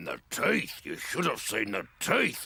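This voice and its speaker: This man puts on a growling character voice, pitched fairly low. He talks at a fairly slow pace. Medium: cartoon. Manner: gruff, blustery.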